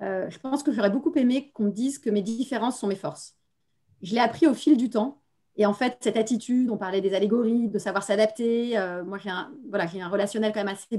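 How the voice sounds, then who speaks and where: A woman with a dark, mellow tone speaks fairly quickly at a fairly high pitch, with ordinary pitch variation. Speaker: business executive. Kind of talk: panel discussion. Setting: video call. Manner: fast.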